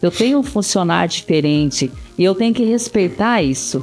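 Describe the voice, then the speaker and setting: With music in the background, a woman at a medium pitch speaks at a moderate pace, her pitch swinging very widely. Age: 60s. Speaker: pastor. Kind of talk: casual chat. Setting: studio.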